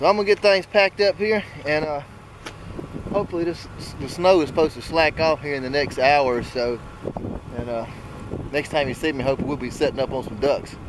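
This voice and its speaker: A man with an American accent and fairly high pitch, fairly quick pace broken by long, frequent pauses, dry sound with no echo, and noticeable background noise. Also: ordinary pitch variation. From Alabama. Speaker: hunting vlogger. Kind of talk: vlog narration. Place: open country. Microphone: phone near.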